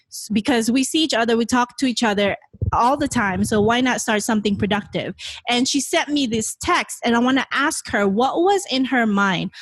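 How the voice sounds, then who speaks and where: This woman talks at a moderate pace in a high voice with lively intonation. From Philippines, Bacolod City. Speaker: podcast host. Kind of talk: casual chat. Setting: home bedroom.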